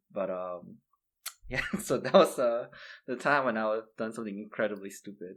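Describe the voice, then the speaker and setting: Here a man with medium pitch talks at a moderate pace with a non-native accent. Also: ordinary pitch variation. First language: not English. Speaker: podcast co-host. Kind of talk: casual chat. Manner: hesitant, many fillers.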